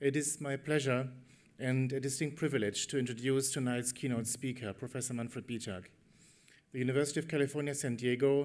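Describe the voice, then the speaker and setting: Fairly quick speech from a man in a monotone, flat intonation. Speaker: conference host introducing keynote. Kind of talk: formal introduction speech. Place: hall. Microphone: podium.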